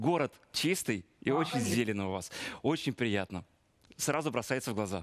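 This man has an ordinary speaking voice, medium pitch, lively intonation and a fairly quick pace. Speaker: TV presenter. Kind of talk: moderated TV studio event. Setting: studio.

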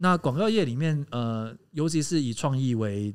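Over a quiet background, a man speaks with lively intonation. His pace is moderate. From Taiwan, Hakka family. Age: 30s. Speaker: podcast co-host and company founder; podcast co-host. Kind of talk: casual chat. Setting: live podcast recording before a small audience. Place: studio. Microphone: studio mic.

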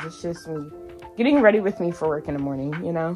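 Clear music plays in the background as a woman speaks. Her pitch is fairly low, with ordinary variation. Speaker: vlogger. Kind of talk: casual vlog chat. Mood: relaxed, joking. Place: home room. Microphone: phone near.

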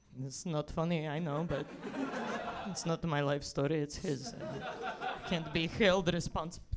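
A woman at a moderate pace amid loud background noise. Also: ordinary pitch variation. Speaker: comedian. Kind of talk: stand-up comedy bit. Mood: deadpan, playful. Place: stage. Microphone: handheld.

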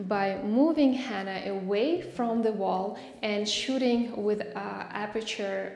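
A woman speaks at a very slow pace with ordinary pitch variation, and the room echo is audible. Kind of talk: tutorial. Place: empty room.

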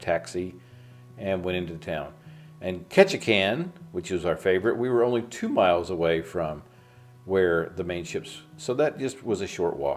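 A man speaks at a moderate pace in a fairly low pitch, with music playing in the background. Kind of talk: travel vlog narration.

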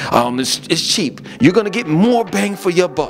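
A man's high-pitched voice over clear music in the background. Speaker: vlogger. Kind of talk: casual vlog chat. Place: home room.

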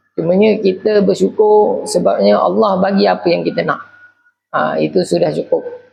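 Moderate-paced speech over music in the background. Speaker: university alumnus and business owner. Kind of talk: interview monologue. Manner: casual with frequent fillers.

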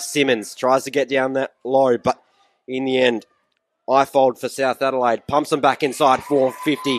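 In an Australian accent, the speaker keeps a moderate pace, with a dry, close sound and no echo. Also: man. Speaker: match commentator. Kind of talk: live commentary. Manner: brisk, lively, upbeat.

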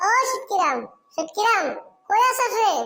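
A cartoonish character voice from a woman, extremely high-pitched and squeaky, with lively intonation at a moderate pace

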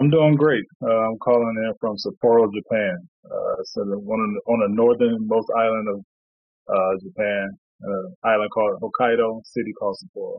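Recorded with a quiet background, a man's voice comes across as dry with no echo. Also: ordinary pitch variation, moderate pace. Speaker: guest. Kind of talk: interview answer. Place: home room. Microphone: video call.

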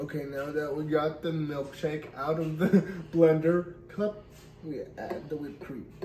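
Light background noise and audible room echo surround a man speaking very slowly at a fairly high pitch with fairly even intonation. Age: 20s. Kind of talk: casual cooking video talk to camera. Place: kitchen. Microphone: camera far.

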